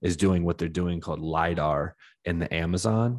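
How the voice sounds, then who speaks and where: Against a quiet background, a man with an American accent speaks at a very deep, low pitch. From Washington DC area. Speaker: podcast host. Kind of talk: casual interview chat. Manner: casual, sweary.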